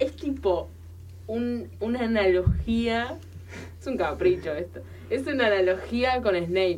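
Audible room echo surrounds a woman speaking at a fairly slow pace. She leaves long, frequent pauses. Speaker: radio co-host, communication student. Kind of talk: casual chat.

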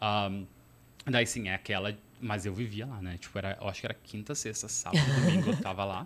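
Speaking at a fairly quick pace, a man has a fairly low pitch. His voice shows ordinary pitch variation. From southern Brazil, Porto Alegre area. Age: 30s. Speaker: traveler and former exchange student. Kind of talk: casual interview chat. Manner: hesitant, many fillers.

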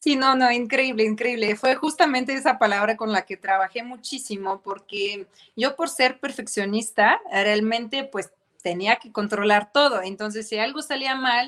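This woman has an ordinary speaking voice, fairly high in pitch with ordinary pitch variation, and she talks at a moderate pace. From Ukraine. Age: young. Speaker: fashion designer and entrepreneur. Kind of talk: interview.

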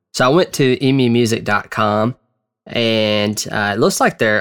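At a fairly slow pace, a man with a Southern US accent and a medium pitch talks with ordinary pitch variation, captured in a very clean recording with a silent background. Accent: Southern American. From US South, Georgia. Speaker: podcast host. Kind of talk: casual commentary. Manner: conversational, filler-heavy.

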